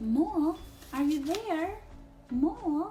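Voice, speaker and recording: Over clear music in the background, a woman performs a put-on character voice. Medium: read story. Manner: slow, sleepy.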